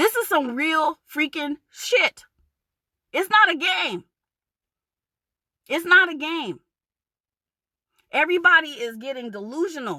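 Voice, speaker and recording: In an American accent, a woman with a high pitch and a bright, sharp tone speaks in a raised, projected voice with an animated tone, very wide pitch swings and long, frequent pauses, in a dry, close sound with no echo. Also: fairly slow pace. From New York, Long Island. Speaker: vlogger. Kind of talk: rant.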